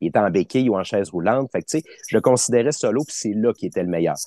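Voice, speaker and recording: A man's dark, mellow tone at a fairly low pitch, dry and close with no echo, over a quiet background. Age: 30s. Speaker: wrestling fan. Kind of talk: interview.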